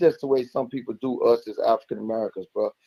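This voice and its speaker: Talking at a very fast pace, a man with a fairly high pitch and a dark, mellow tone comes through with a dry, close sound with no echo. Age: 60s. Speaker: caller praising the show. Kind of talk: casual chat. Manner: animated.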